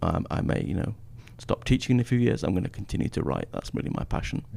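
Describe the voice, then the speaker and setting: A man speaks with an English accent. His tone is dark and mellow. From northern England. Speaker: history professor. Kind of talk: podcast interview. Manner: hesitant, many fillers.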